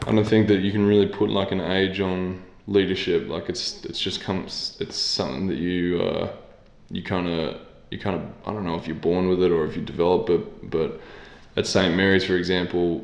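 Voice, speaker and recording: An audible room echo surrounds this man's voice. He speaks with an Australian accent and fairly even intonation. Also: moderate pace. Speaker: professional basketball player. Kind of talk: interview.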